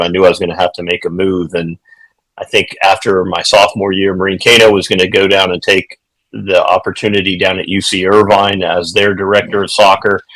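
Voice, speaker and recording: A man with an American accent speaks at a fairly quick pace. His pitch is fairly low. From Ohio and Virginia, US. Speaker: retired pro goalkeeper and goalkeeper coach. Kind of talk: podcast interview. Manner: hesitant with many fillers.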